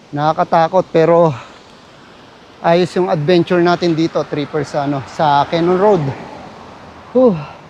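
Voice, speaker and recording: Over noticeable background noise, a high-pitched man speaks at a fairly slow pace with long, frequent pauses. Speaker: travel vlogger. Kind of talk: vlog narration. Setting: outdoors. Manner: halting; animated.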